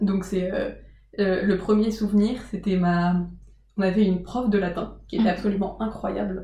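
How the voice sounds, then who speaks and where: Monotone and flat, a woman talks at a moderate pace in a medium pitch with audible room echo. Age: 20s. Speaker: former prep-class student. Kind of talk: casual interview. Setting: in the host's home.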